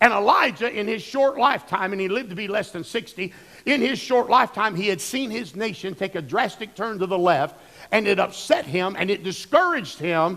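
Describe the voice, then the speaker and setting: A man with an American accent speaks in a raised, projected voice at a high pitch and a fairly quick pace. His tone is bright and sharp, with lively intonation. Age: 60s. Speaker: pastor. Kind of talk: sermon.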